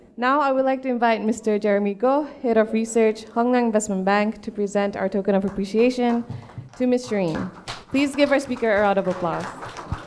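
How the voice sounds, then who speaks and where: With a normal speaking voice, a woman talks at a fairly quick pace and fairly high pitch, using fairly even intonation over light background noise. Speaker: event moderator. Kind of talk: formal introduction. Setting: stage with audience. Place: hall.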